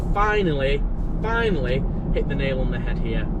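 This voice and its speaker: A man talks fairly quickly, his voice carrying audible room echo amid noticeable background noise. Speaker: car vlogger. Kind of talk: casual driving vlog. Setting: in a car. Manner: quiet; hesitant, many fillers. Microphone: poor audio.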